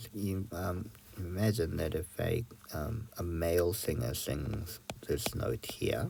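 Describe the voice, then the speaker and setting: A man with a very deep, low pitch and a dark, mellow tone speaks at a very slow pace with vocal fry and lively intonation. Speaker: music teacher. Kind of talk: tutorial. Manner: hesitant, filler-heavy.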